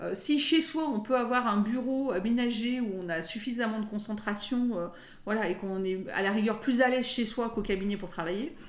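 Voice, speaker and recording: A woman speaks with lively intonation at a fairly high pitch. Audible room echo surrounds her voice. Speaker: lawyer. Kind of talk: interview.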